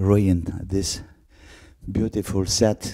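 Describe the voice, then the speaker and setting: Over a quiet background, a man talks very slowly in a very deep, low voice with a dark, mellow tone. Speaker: YouTuber reviewing audio gear. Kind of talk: casual product test video. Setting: home, walking around the house. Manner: halting, many fillers. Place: home room. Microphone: handheld.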